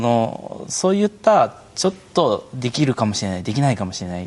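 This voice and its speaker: A man at a medium pitch talks at a moderate pace, his pitch swinging very widely. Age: 30s. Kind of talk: live stream panel talk. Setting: internet live stream.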